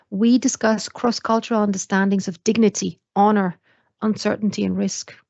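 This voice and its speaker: A woman with a non-native accent speaks at a fairly quick pace in a monotone, flat intonation. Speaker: university lecturer. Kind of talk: lecture. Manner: hesitant fillers.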